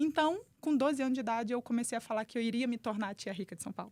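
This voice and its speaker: On a very clean recording with a silent background, a woman speaks very fast at a fairly high pitch with ordinary pitch variation. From Brazil, Volta Redonda, interior of Rio de Janeiro state. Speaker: entrepreneur and human performance specialist. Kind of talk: podcast interview.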